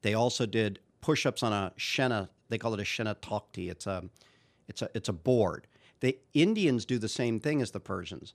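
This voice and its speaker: A man talks in an ordinary speaking voice at medium pitch, with ordinary pitch variation. His pace is moderate, and the recording is very clean, with a silent background. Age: 50s. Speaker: Indian club trainer and maker. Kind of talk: interview.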